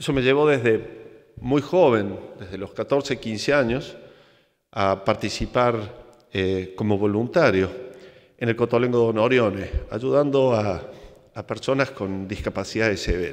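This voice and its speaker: Over a quiet background, a man with a Córdoba Argentine accent speaks at a fairly slow pace, medium pitch and ordinary pitch variation. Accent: Cordoban Argentine Spanish, noticeable. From Argentina, Córdoba; Argentina. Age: 50s. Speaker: engineer and plane crash survivor; conference speaker. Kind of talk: motivational talk. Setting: stage with audience. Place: stage. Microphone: podium.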